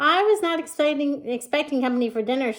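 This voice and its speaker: Mumbling at a very fast pace, a woman does a put-on character voice with a high pitch and lively intonation. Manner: mumbling with mouth full.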